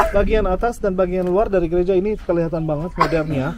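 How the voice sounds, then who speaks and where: In a room with audible echo, a man talks very fast at a high pitch. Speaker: tour guide. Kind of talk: guided tour talk.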